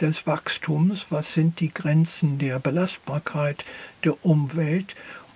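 In an English accent, a man speaks at a very slow pace. His fairly high voice holds a fairly even intonation. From US, near Philadelphia. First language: English (speaking German). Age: 70s. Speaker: philosopher. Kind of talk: interview. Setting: studio.

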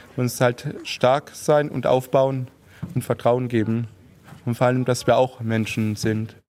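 In a normal speaking voice, a man speaks at a fairly slow pace with a medium pitch and fairly even intonation. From Heilbronn, southwest Germany. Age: 30s. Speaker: amateur football goalkeeper. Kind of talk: interview.

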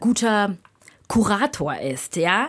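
Recorded very cleanly over a silent background, a woman speaks at a fairly high pitch. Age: 40s. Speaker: theatre director and performer. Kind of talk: radio interview. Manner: hesitant, many filler sounds.

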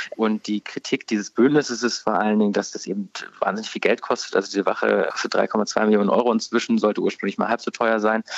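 A man talks very fast while noticeable background noise plays behind him. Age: 30s. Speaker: newspaper politics editor. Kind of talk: radio interview. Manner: hesitant, many filler words.

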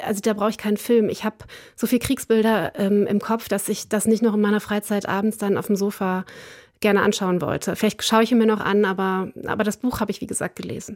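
Monotone and flat in intonation, a woman speaks at a fairly quick pace. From southern Westphalia, Germany. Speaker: foreign policy expert. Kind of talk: radio interview.

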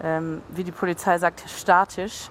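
A woman talks in a medium pitch with monotone, flat intonation while noticeable background noise plays behind her. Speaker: on-site reporter. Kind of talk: live reporting.

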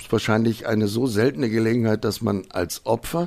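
A man with a normal speaking voice talks at a fairly quick pace and medium pitch. The recording is very clean, with a silent background. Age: 50s. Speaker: crime victim, professional driver. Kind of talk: testimony.

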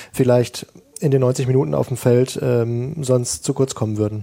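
A man talks at a moderate pace in a medium pitch with fairly even intonation, an unremarkable speaking voice. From Germany, Ruhr area. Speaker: sports reporter. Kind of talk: panel discussion. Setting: remote link from Qatar.

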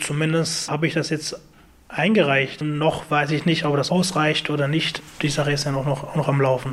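A man with a fairly high pitch speaks at a moderate pace, his loudness very even and his intonation monotone and flat. Noticeable background noise runs underneath. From Afghanistan. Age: 20s. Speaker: IT technician. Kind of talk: interview.

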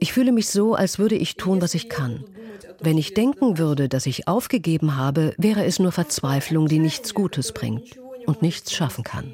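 Over noticeable background noise, the speaker talks at a moderate pace with very wide pitch swings. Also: woman. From southern Russia. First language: Russian (speaking German). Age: 30s. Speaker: sales manager. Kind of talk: interview testimony (German voice-over). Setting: video call.

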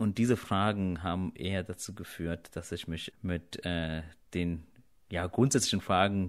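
Recorded very cleanly against a silent background, a man with a very deep, low pitch speaks at a moderate pace with fairly even intonation. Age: 30s. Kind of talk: interview.

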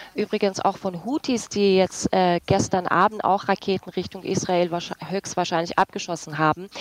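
Dry and close with no echo, a woman speaks at medium pitch with a normal speaking voice. Her pace is moderate and her intonation fairly even. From Iranian-German. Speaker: journalist. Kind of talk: radio panel discussion.

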